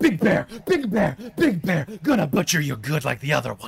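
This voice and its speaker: A man puts on a character voice with growling. He speaks at a moderate pace with a fairly high pitch. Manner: snarling, menacing.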